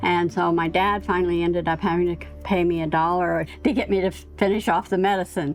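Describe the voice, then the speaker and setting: Music plays in the background as a woman talks. She keeps a fairly quick pace with hardly any pauses. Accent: American. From eastern Oregon. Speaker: elderly local resident. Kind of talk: documentary interview, personal memories.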